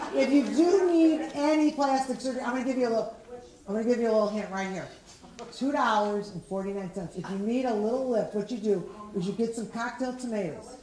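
A woman talks at a very fast pace with a fairly high pitch, over light background noise and audible room echo. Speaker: stand-up comedian. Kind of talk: stand-up comedy set. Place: stage.

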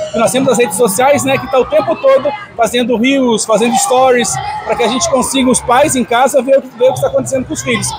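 A man talks at a very fast pace. Crowd noise can be heard in the background. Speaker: sports project teacher. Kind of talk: interview answer. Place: hall. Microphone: handheld.

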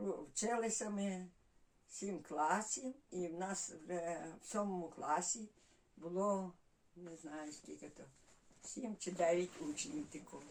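With a Volhynian accent, a woman speaks at a very slow pace and a medium pitch, with lively intonation, big swings in loudness and long, frequent pauses. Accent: Volhynian Ukrainian village dialect. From Volyn, northwestern Ukraine (village near Kovel). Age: 80s+. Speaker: village resident. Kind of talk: dialect interview, life story. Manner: halting, many fillers.

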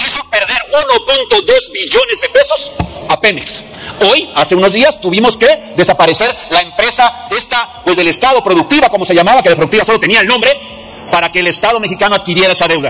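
Over light background noise, a man talks at a fairly quick pace in a raised, projected voice. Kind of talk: parliamentary speech. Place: hall. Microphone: podium.

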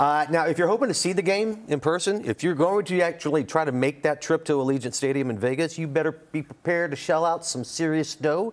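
A man's fairly high voice moves through ordinary pitch variation. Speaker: TV show host. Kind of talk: casual chat. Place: studio.

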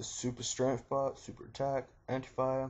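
This man has a New Zealand accent. His voice sounds somewhat breathy. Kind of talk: game tutorial narration. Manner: casual, profane.

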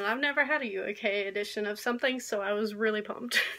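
Her voice is fairly high-pitched, and this woman has a bright, sharp tone. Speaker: book vlogger. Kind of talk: casual vlog. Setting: video recording. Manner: fast talker. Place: home room. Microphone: phone near.

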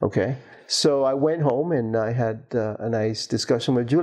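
The voice has a dark, mellow tone against a quiet background. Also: man. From Cuba. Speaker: materials science professor and university administrator. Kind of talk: oral history interview. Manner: hesitant with frequent fillers. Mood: calm, reflective. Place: home room.

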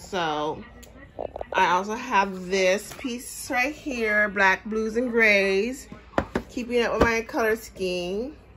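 The speech moves at a very slow pace with ordinary pitch variation. Light background noise sits underneath. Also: woman. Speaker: shopping haul vlogger. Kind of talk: casual vlog chat. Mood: pleased, relaxed. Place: home room. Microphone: phone near.

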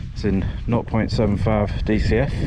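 A man's voice sounds dry, with no echo. Loud background noise runs behind him. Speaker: hiker vlogger. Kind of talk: casual vlog chat. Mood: relaxed, content. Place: open country. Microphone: phone near.

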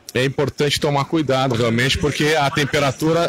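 Over light background noise, a man speaks at a moderate pace with ordinary pitch variation, in a dry sound with no echo. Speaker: radio announcer. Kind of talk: live event commentary. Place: street. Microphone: phone near.

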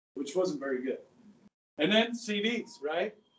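A man talks fairly slowly. Room echo can be heard. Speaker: teacher. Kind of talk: lecture. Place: classroom. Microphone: camera far.

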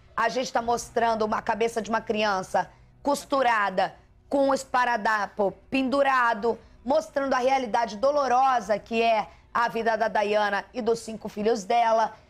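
The speaker keeps a moderate pace and fairly even intonation. Music plays in the background. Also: woman. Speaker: TV news anchor. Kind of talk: live TV news anchoring. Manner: warm, empathetic. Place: studio. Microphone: lapel.

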